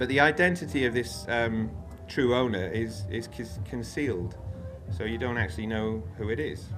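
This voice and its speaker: A medium-pitched man with a Welsh accent talks with music in the background and audible room echo. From Wales. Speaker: freeman activist speaker. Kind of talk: talk with slides. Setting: festival stage with audience. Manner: informal, many fillers and repetitions.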